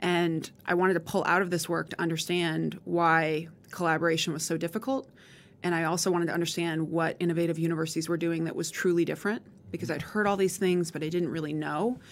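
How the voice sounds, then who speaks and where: A woman with an American accent, very fast, fairly low in pitch, with fairly even intonation. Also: very clean recording, silent background. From rural Montana. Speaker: higher education consortium director. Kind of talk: interview conversation.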